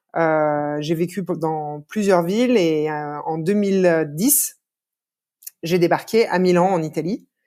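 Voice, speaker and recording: Very slow speech from a woman, fairly low in pitch with ordinary variation and a dark, mellow tone. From France, Lyon. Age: 30s. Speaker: podcast guest. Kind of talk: interview conversation.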